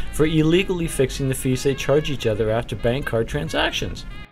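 Somewhat quickly, a man talks as background music plays. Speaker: business news presenter. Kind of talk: business news read. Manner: brisk, professional, occasionally wry.

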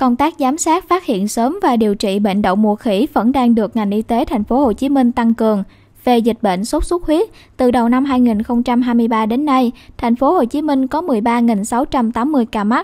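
Her pitch is high, her tone dark and mellow. This woman speaks at a fairly slow pace with very even loudness. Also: ordinary pitch variation. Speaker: news presenter. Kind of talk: news reading. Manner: formal.

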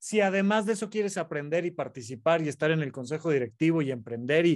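Over a quiet background, a man with a Mexican accent and a high pitch talks at a fairly quick pace with lively intonation. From Mexico. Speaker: psychiatrist podcast co-host. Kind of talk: casual chat. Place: office. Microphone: earbuds.

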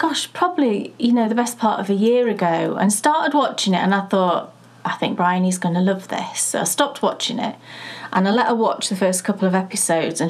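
The speech moves at a fairly quick pace. The intonation is lively. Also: woman. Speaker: podcast co-host. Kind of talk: casual podcast chat. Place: home room.

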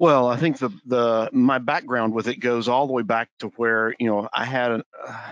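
A man speaks in a normal speaking voice at a somewhat slow pace, the sound dry and close with no echo. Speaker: healthcare leadership development director. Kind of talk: panel discussion.

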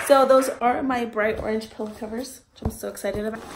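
Monotone, flat intonation from a woman with a fairly high pitch, amid noticeable background noise. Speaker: vlogger. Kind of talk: casual vlog haul. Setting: at home, kids in background. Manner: casual, filler words.

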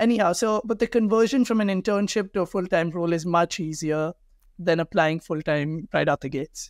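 A man speaks fairly quickly in a high pitch with ordinary pitch variation. The sound is dry with no echo, and the background is quiet. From India, Delhi. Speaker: startup founder; guest. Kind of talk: interview. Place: office. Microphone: webcam.

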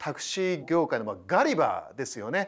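A man in a normal speaking voice, at a moderate pace, with lively intonation. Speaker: TV host and business scholar; TV host. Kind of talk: interview. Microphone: lapel.

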